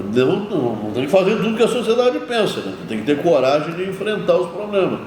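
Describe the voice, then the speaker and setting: Amid noticeable background noise and audible room echo, a man with a high pitch speaks at a moderate pace with very wide pitch swings. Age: 70s. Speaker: mayor. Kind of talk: interview. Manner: animated.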